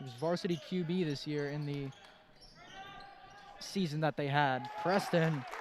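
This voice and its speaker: A man's fairly high voice at a moderate pace, with fairly even intonation, long, frequent pauses, audible room echo and noticeable background noise. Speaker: basketball color commentator. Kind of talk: live sports commentary.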